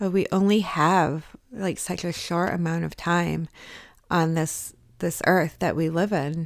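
A woman speaks at a fairly slow pace in an unremarkable speaking voice. Her pitch is fairly low and her intonation fairly even. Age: 40s. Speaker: wellness podcast host. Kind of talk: motivational solo podcast talk. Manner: casual, with filler words.

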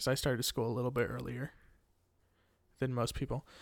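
Here a man speaks with an American accent. The recording is very clean, with a silent background. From Missouri, US. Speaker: podcast host and musician. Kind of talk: personal monologue. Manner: casual, with frequent restarts.

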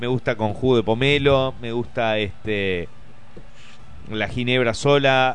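At a fairly slow pace, a man speaks at a medium pitch with ordinary pitch variation and audible room echo. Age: 30s. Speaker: comedian. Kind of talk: casual chat.

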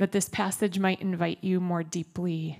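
With an American accent, a woman in an ordinary speaking voice talks at a fairly slow pace, fairly low in pitch with fairly even intonation, on a very clean recording with a silent background. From Minnesota. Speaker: pastor. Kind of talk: sermon. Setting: church. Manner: casual, conversational.

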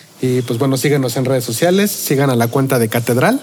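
A man with a medium pitch and ordinary pitch variation talks at a fairly quick pace, noticeable background noise around him. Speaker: podcast host. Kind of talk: casual interview. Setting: restaurant.

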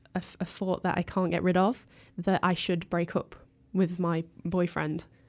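A woman with a plain, everyday voice and medium pitch speaks at a fairly slow pace in a very clean recording with a silent background. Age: 20s. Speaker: music journalist. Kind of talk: casual interview.

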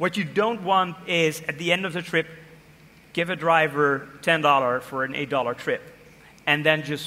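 This man's voice is fairly high, with a bright, sharp tone. His intonation stays fairly even. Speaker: design manager. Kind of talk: interview on stage.

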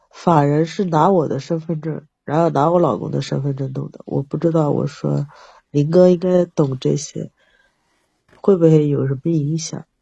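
A woman speaks at a moderate pace with a very deep, low pitch. Her tone is dark and mellow, and somewhat breathy. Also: fairly even intonation. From Jiangsu, China. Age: 40s. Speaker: caller seeking relationship advice. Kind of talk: call-in advice conversation.

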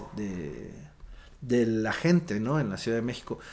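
The speaker moves at a fairly slow pace, the pitch swinging very widely. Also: man. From Oaxaca, Mexico. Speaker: restaurant owner and writer. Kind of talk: casual interview. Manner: halting, many fillers and repetitions.

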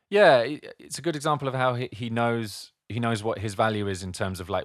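On a very clean recording with a silent background, a man with a plain, everyday voice speaks at a fairly quick pace with ordinary pitch variation. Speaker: podcast host and music producer. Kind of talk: casual chat.

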